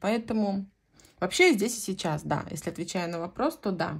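In a very clean recording with a silent background, a woman's voice sounds somewhat breathy. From Central Russia, Voronezh region. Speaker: knitting vlogger. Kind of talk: casual chat.

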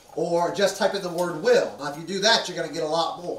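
Audible room echo around a man speaking. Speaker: preacher. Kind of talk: sermon. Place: church.

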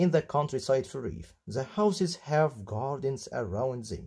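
With an Egyptian accent, a man speaks at a moderate pace in a somewhat breathy voice with a dark, mellow tone and lively intonation, in a very clean recording with a silent background. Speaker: English teacher. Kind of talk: tutorial, textbook walkthrough.

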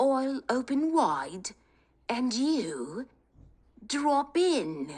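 In a put-on character voice, a female-sounding speaker talks very slowly with a high pitch. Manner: greedy, jovial.

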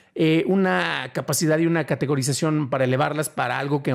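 With a quiet background behind him, a man is talking. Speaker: podcast host, film commentator. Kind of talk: commentary on film history. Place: home room. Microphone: studio mic.

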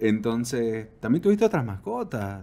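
Moving at a moderate pace, a man speaks with very wide pitch swings. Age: 30s. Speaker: podcast host. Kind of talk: casual interview. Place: studio. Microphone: studio mic.

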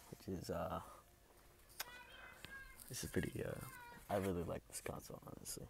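This is a man's voice. He is soft-spoken. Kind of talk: casual talk to camera, ASMR.

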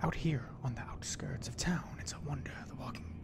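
Whispering at a moderate pace, a man speaks over loud background noise. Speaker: game streamer. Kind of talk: casual gaming commentary and reading quest text. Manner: whispered reading of quest text. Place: home room.

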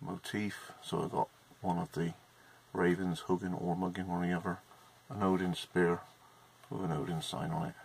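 A man talks at a moderate pace in a very deep, low voice. Long pauses come often, with light background noise behind him. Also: ordinary pitch variation. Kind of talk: casual show-and-tell chat. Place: workshop. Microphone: webcam.

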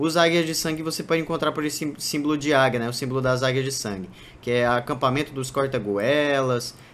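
A man speaks with a Brazilian accent and ordinary pitch variation. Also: medium pitch for a man, fairly quick pace. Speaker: gaming YouTuber. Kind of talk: gameplay tutorial commentary. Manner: casual, filler-heavy.

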